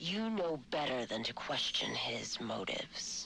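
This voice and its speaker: This is a put-on, growling character voice in a low-to-middle pitch. The pace is fairly slow. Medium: video game. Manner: smooth, measured.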